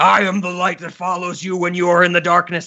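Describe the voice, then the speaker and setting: A man's put-on character voice, menacing in tone, high-pitched and monotone with flat intonation, at a fairly quick pace. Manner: crazy, menacing.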